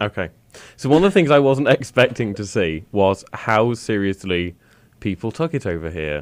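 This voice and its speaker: A man with a British accent, fairly low-pitched, at a moderate pace, with very wide swings in pitch. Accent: British accent, remarked on. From Britain. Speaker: radio host. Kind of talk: casual chat. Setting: studio.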